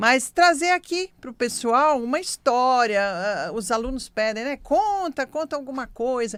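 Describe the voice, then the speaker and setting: Speaking at a fairly slow pace with hardly any pauses, a woman with a high pitch makes very wide pitch swings and big swings in loudness. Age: 60s. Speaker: radio host, medium and naturopath. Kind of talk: radio talk, storytelling.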